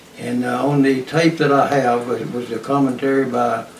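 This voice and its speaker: A man of medium pitch with an East Texas accent, amid noticeable background noise and audible room echo. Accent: East Texas Southern US. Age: 80s+. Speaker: retired highway patrolman. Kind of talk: oral history interview. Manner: halting, many fillers.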